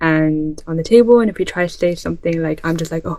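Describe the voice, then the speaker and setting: A woman with a slight Irish accent and a fairly low pitch. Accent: light Irish. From born in Ireland, moved to UK about ten years ago as a child. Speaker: vlogger. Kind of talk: casual vlog monologue. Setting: bedroom.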